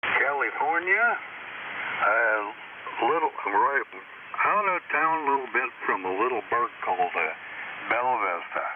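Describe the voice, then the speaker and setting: A man talks fairly slowly, with long, frequent pauses. His loudness stays very even, and there is noticeable background noise. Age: 80s+. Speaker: ham radio operator. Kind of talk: casual chat. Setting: amateur radio contact. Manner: halting, many fillers.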